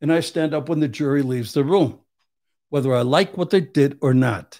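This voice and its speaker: Recorded very cleanly with a silent background, a man talks at a moderate pace. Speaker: Vietnam veteran and criminal defense attorney. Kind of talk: casual chat. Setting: studio. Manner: blunt, uncensored.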